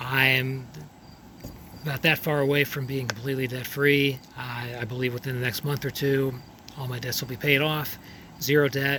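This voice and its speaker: A man's medium-pitched voice at a moderate pace, monotone and flat, with long, frequent pauses and noticeable background noise. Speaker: dentist. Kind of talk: casual talk to camera.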